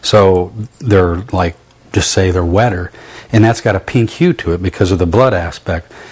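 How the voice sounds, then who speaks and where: A man's very deep, low voice, somewhat breathy, with fairly even intonation at a moderate pace. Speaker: cooking show host and barbecue restaurant owner. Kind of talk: cooking demonstration.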